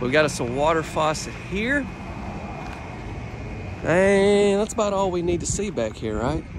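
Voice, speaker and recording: Recorded dry with no echo but with noticeable background noise, a man talks at a moderate pace. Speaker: presenter. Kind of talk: casual vlog tour commentary. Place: street. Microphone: phone near.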